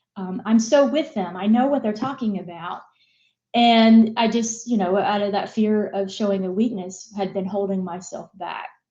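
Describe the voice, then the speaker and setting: With an American accent, a woman talks at a moderate pace in a medium pitch, her dark, mellow tone somewhat breathy, with ordinary pitch variation. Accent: Southern US, comes out at times. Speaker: business executive. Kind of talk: interview. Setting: live broadcast.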